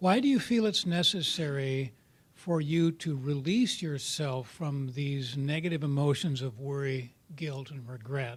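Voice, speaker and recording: Somewhat breathy, a man with a fairly high pitch speaks at a fairly slow pace with ordinary pitch variation. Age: 70s. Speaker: workshop participant in recovery group. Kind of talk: sharing in a support group workshop. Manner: halting, with many fillers and repeats.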